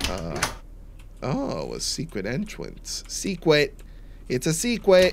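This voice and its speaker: Noticeable background noise sits under a man speaking at a very slow pace. He leaves long, frequent pauses. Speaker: gaming YouTuber. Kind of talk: gameplay commentary. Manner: casual, chatty, joking. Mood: wary, joking.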